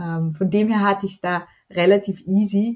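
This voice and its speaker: Somewhat breathy delivery at a moderate pace, with fairly even intonation. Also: woman. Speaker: self-love coach and author. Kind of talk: podcast interview.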